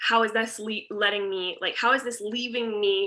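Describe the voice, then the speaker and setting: A woman's fairly high, bright, sharp voice with fairly even intonation at a moderate pace. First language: French. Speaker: teacher and content planning coach. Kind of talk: online workshop talk. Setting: video call. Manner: casual, chatty with fillers.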